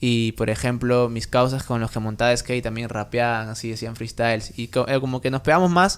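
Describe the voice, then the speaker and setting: A man talks at a fairly quick pace. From Trujillo, Peru; Peru. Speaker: music producer; podcast guest. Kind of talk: casual interview; interview answer. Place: home room. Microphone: studio mic.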